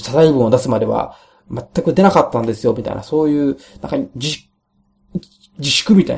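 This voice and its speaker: A man talks at a fairly quick pace with a fairly high pitch and ordinary pitch variation. His loudness swings widely, and he leaves long, frequent pauses. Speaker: solo podcaster. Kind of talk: casual monologue. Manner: halting, many fillers.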